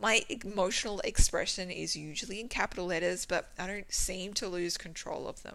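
A woman talks at a fairly quick pace with hardly any pauses and big swings in loudness. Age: 30s. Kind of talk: reading aloud. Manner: expressive.

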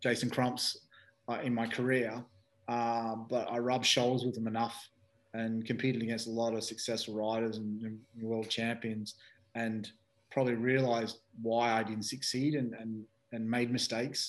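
A man speaks with an Australian accent at a moderate pace. His medium-pitched voice stays monotone and flat. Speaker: speedway team manager, former rider. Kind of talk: casual interview. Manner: halting, many fillers.

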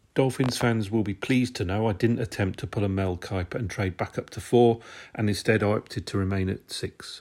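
This voice, in a British accent, moves at a fairly quick pace with fairly even intonation on a very clean recording with a silent background. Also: man, fairly low pitch for a man. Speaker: sports podcaster. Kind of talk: scripted read. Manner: formal.

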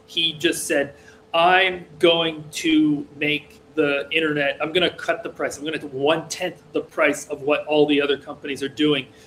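A man speaks at a fairly high pitch. His intonation is monotone and flat. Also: moderate pace. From rural Massachusetts, US. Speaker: programmer. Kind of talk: casual interview conversation. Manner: hesitant, many fillers.

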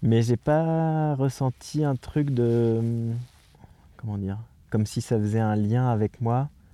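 This voice carries a dark, mellow tone. Its delivery is very slow. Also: man. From France, near Poitiers (Châtellerault). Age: 40s. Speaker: circus arts administrator. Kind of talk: interview, personal conversation. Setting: in a tent in the mountains. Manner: hesitant, many fillers.

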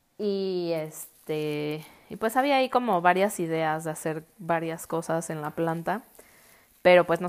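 Her pitch is fairly low. This woman speaks at a fairly slow pace. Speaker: podcast host and architect. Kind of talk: casual monologue.

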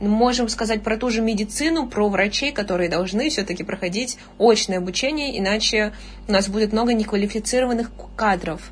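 Fairly quick, fairly high-pitched talk from a woman, ordinary in pitch variation, amid noticeable background noise. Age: young. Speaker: university student and online tutor. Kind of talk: casual chat.

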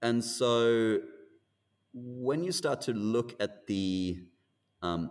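A man with an Australian accent speaks using ordinary pitch variation. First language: not English. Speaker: actor and screen industry manager. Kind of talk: interview conversation. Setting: remote call.

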